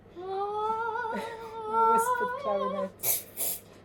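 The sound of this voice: Unforced reading voice throughout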